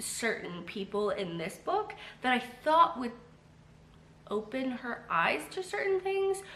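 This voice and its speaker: The voice rises and falls in very wide pitch swings at a fairly slow pace. Noticeable background noise and audible room echo fill the recording. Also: woman. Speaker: booktuber. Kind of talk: casual vlog chat. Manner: chatty with many fillers.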